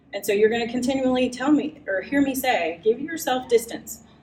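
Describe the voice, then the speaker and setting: Heard with audible room echo, a woman speaks at a moderate pace with a high pitch and lively intonation. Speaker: writing workshop presenter. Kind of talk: live workshop lecture. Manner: animated.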